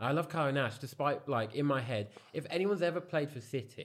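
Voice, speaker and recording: There is vocal fry in this man's medium-pitched voice. He speaks at a fairly quick pace. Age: 20s. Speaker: football content creator. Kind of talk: casual chat.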